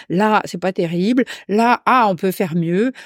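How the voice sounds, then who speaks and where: A woman's medium-pitched voice at a moderate pace with ordinary pitch variation, a plain, everyday voice, dry and close with no echo, on a very clean recording with a silent background. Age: 60s. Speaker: hypnotherapist. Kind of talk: casual chat.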